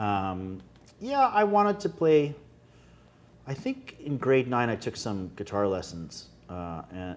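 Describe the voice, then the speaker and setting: Using lively intonation, the speaker talks at a fairly slow pace in a Winnipeg accent. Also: man. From Canada, Winnipeg. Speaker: singer-songwriter. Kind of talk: casual interview chat. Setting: restaurant.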